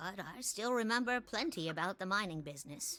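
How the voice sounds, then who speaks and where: With music in the background, a woman uses a put-on character voice with lively intonation at a moderate pace. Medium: actual play.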